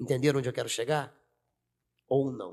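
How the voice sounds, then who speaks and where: A man speaks in an animated tone. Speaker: teacher and city council candidate. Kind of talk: podcast interview.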